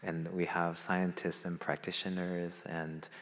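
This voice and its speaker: Very slow and very deep, a man speaks at a very low pitch. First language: not English. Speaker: conference moderator introducing a speaker. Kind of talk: opening remarks at a conference. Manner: halting, many fillers.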